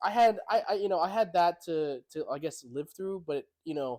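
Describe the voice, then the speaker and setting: Lively intonation runs through speech at a moderate pace. The sound is dry and close, with no echo. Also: man. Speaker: podcast co-host. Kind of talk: casual chat.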